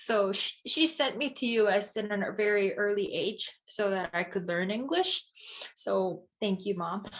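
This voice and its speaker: With a Korean accent, a woman speaks using ordinary pitch variation. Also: medium pitch for a woman, fairly slow pace. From South Korea, Seoul. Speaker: ceramic artist. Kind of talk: lecture Q&A. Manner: halting.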